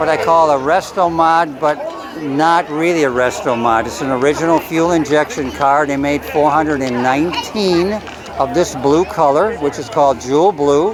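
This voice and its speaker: Someone with an American accent talks at a moderate pace while crowd noise carries in the background. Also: man, fairly high pitch for a man, ordinary pitch variation. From US Midwest, Chicago area (Lyons, Illinois). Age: 70s. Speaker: classic car owner. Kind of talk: casual interview.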